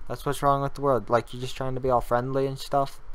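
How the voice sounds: At a fast pace, a man speaks in a medium pitch with little pitch movement.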